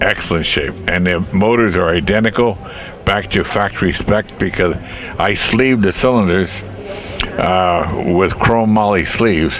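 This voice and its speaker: Against noticeable background noise, a man with a very deep, low pitch talks fairly slowly at a very even loudness with ordinary pitch variation. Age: 70s. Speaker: vintage motorcycle owner, restorer. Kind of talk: casual interview answers.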